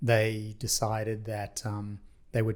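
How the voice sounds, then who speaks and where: A man with an Australian accent speaks at a fairly slow pace and a medium pitch. The recording is very clean, with a silent background. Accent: Australian, noticeable. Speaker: parking industry executive. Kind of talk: podcast interview.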